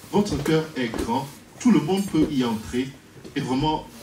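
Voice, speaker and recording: The speaker has a strong Cameroonian accent and talks at a fairly slow pace. Noticeable background noise and audible room echo fill the recording. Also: man. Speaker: priest. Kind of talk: wedding speech.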